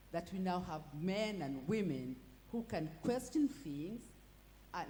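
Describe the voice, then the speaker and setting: Very wide pitch swings around a medium pitch from a woman. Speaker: law professor. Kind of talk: panel discussion. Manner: halting, many repetitions.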